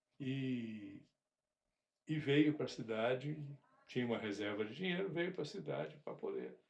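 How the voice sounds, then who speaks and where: The man's pitch is fairly high. His intonation is lively. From rural Brazil. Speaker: father telling family stories. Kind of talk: casual interview. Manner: halting.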